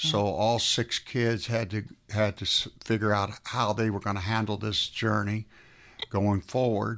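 Against a quiet background, a man with an American accent speaks at a fairly slow pace, his fairly low pitch delivered in a monotone, flat intonation. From US South (South Florida). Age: 70s. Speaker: business founder and CEO. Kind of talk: testimony. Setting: studio.

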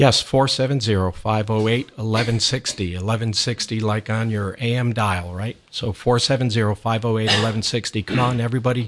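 A man with an unremarkable speaking voice, medium pitch, fairly even intonation and a fairly quick pace. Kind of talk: radio interview. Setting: radio studio.

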